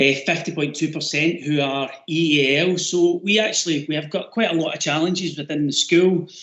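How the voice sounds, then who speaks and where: Fairly high-pitched male voice in a Glasgow accent, moderate pace, fairly even intonation and hardly any pauses. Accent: Scottish (Glasgow). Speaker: teacher. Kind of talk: webinar presentation. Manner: loud.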